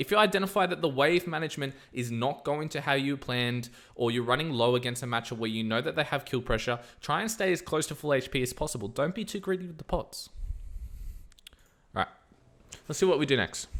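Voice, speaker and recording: Very fast and animated, a man with a fairly high pitch and lively intonation speaks on a very clean recording with a silent background. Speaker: gaming streamer. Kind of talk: gameplay tutorial commentary.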